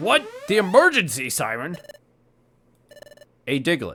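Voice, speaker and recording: At a moderate pace, a man with a high pitch performs a put-on character voice. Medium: solo performance. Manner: varied acted delivery.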